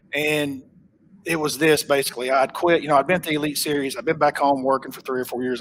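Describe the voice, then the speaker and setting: A man talks fairly quickly in a strong Oklahoma accent. His voice is fairly high, with fairly even intonation. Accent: thick Oklahoma. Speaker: professional bass angler. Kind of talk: casual interview chat. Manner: conversational, with fillers and repetitions.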